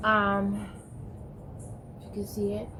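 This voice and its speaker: There's noticeable background noise and audible room echo as a woman talks at a fairly slow pace. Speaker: vlogger recovering from stroke. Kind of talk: personal vlog testimony. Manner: halting.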